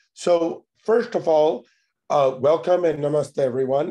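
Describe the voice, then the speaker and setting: A man with an American accent and an unremarkable speaking voice, at a moderate pace with ordinary pitch variation. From United States. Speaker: tech entrepreneur. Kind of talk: conference talk.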